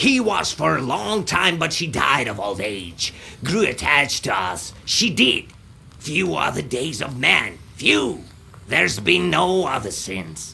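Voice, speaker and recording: Against clear background noise, a put-on character voice swings very widely in pitch at a fairly slow pace. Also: man, medium pitch for a man. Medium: video game. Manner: clipped, repeats words, caws.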